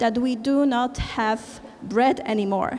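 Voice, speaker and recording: In a Polish accent, a woman speaks at a very slow pace. Her pitch is fairly high and her intonation fairly even. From Poland. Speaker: conference speaker, environmental movement organizer. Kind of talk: conference presentation. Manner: halting, many fillers.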